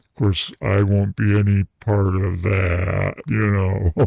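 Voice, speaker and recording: A man's put-on character voice, fairly low in pitch and fairly slow in pace. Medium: comedy sketch. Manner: giggly, crude.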